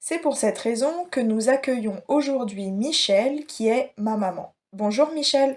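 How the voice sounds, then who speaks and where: A woman speaks at a very slow pace in a high voice with lively intonation and hardly any pauses. The recording is very clean, with a silent background. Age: 20s. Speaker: podcast host. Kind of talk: interview.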